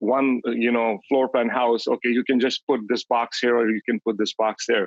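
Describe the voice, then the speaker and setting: In a non-native accent, a man speaks at a moderate pace with a medium pitch and fairly even intonation, the sound dry and close with no echo. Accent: foreign. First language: not English (English is his third language). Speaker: real estate agent, coaching client. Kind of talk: testimony on a coaching call. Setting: group coaching call. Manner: halting, with false starts.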